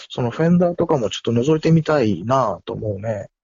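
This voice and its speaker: A somewhat breathy male voice at a moderate pace. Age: 50s. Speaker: musician. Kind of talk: casual chat. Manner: animated.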